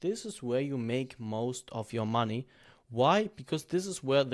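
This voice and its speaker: A man with a non-native accent and a medium pitch, at a moderate pace, on a very clean recording with a silent background. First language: not English. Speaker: YouTube growth coach. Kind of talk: tutorial. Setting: in front of a camera. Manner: freestyle, unscripted.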